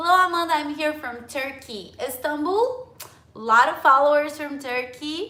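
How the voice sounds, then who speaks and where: A woman with a high-pitched voice sounds animated, her intonation lively, and there is audible room echo. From France. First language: Portuguese. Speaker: English teacher. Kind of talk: live stream chat with viewers.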